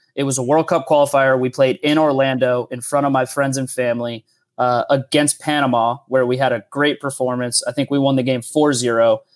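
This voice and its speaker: A man with an American accent talks at a fairly quick pace in a monotone, flat intonation, with hardly any pauses. The recording is very clean with a silent background and a dry, close sound with no echo. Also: medium pitch for a man. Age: 30s. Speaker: professional soccer player. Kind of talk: casual chat.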